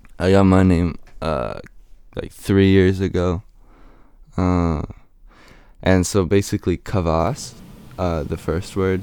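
A man with a very deep, low pitch talks at a very slow pace with fairly even intonation and long, frequent pauses. The recording is very clean, with a silent background. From western Canada. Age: young. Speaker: rapper. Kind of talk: interview. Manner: hesitant.

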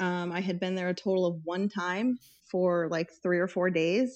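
Speaking at a moderate pace, a woman with an American accent has a medium pitch and an ordinary speaking voice. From Tucson, Arizona. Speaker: podcast guest. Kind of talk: casual chat.

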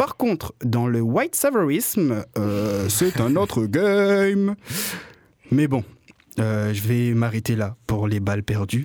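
This voice has a slight Marseille accent and very wide pitch swings. It moves at a very slow pace. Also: man, medium pitch for a man. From Réunion. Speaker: radio columnist and comedian. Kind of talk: comic radio chronicle.

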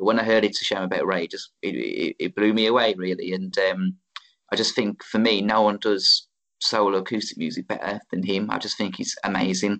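Speaking at a fairly quick pace, a man delivers his words in a monotone, flat intonation at a fairly low pitch. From Wolverhampton, England. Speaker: singer-songwriter. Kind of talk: casual interview chat.

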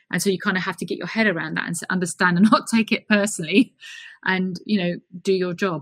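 A woman in a London accent at a very fast pace, with medium pitch, fairly even intonation and a dry, close sound with no echo. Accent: southern English (London). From South London, England. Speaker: HR consultant, managing director. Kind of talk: interview.

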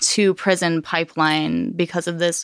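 In an American accent, a woman talks at a very slow pace with fairly even intonation. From Los Angeles, San Fernando Valley. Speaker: cannabis hash company owner. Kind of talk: casual interview chat.

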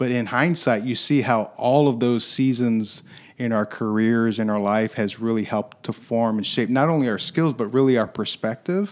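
A man with an American accent and an ordinary speaking voice, medium pitch, ordinary pitch variation, a moderate pace and hardly any pauses. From Michigan, US Midwest. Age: 40s. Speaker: business development executive. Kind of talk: interview.

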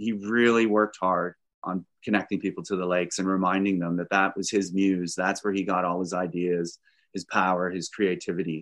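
In a Canadian accent, a man with a plain, everyday voice talks at a fairly quick pace and fairly low pitch, the sound dry and close with no echo against a quiet background. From Canada (Ontario). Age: 60s. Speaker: environmental advocate. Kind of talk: interview.

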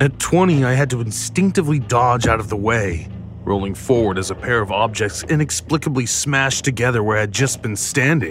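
With noticeable background noise, a man at a medium pitch talks at a fairly quick pace with lively intonation and hardly any pauses. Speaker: audio drama narrator. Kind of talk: scripted first-person horror narration. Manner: measured, eerie, suspenseful.

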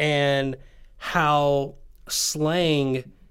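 This man speaks with a slight Southern US accent. His pitch is fairly high. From Tennessee. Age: 20s. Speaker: podcast host. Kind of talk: casual conversation. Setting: video call.

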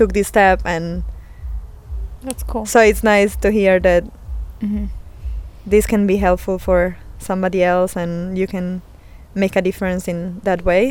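A woman in an Italian accent speaks at a fairly slow pace and medium pitch, her intonation monotone and flat, broken by long, frequent pauses. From Italy. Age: 30s. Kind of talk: casual interview. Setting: family lake house.

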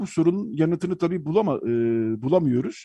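With a dark, mellow tone and a somewhat breathy quality, a man talks at a fairly quick pace with very wide pitch swings, captured in a dry, close sound with no echo. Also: quiet background. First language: Armenian (speaking Turkish). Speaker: radio host. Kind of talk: radio talk show.

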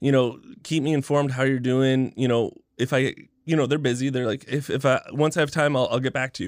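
A man with a Canadian accent speaks in an ordinary speaking voice at a medium pitch and moderate pace. The recording is very clean, with a silent background. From Canada. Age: 30s. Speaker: professional video game streamer. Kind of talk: casual chat.

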